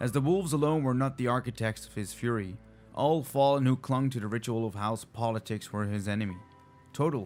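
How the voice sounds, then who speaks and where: Speech with ordinary pitch variation, backed by music. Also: man. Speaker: hobby lore narrator. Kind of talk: video game lore audiobook reading.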